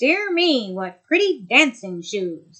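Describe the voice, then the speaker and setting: A woman's put-on character voice with very wide pitch swings, at a fairly slow pace. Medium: read story.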